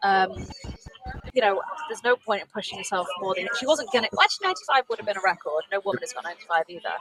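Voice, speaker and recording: A woman with a British accent talks at a very fast pace at medium pitch, with lively intonation and big swings in loudness, the sound dry and close with no echo but with noticeable background noise. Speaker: race commentator. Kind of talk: live commentary.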